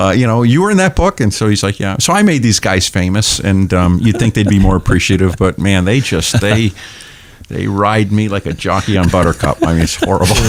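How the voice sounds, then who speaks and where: In a New England accent, a man with a fairly low pitch talks at a fairly quick pace over noticeable background noise. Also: ordinary pitch variation. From New Hampshire seacoast, Portsmouth. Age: 60s. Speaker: pastor and humorist author. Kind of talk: casual chat.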